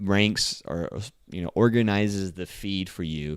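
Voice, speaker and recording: A man's fairly low voice at a fairly slow pace, with ordinary pitch variation, in a very clean recording with a silent background. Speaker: marketing podcast host. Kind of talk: solo podcast monologue. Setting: recording standing at computer mic. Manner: casual with many fillers.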